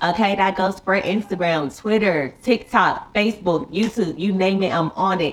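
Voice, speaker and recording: A woman with an American accent talks at a moderate pace in a medium pitch, with ordinary pitch variation. Noticeable background noise sits behind her. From US South, Charlotte, North Carolina. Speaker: YouTuber and TV actress. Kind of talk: casual chat. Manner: animated.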